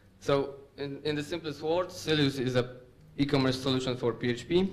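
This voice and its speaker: With a Polish accent, a man speaks at a moderate pace and a medium pitch. His pitch variation is ordinary, and there is audible room echo. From Poland, Łódź. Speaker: software developer. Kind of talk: conference talk. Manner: hesitant with fillers.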